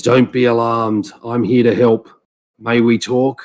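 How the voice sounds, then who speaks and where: Using a rumbling put-on character voice, a man speaks at a medium pitch and moderate pace with monotone, flat intonation and very even loudness. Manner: reassuring, calm.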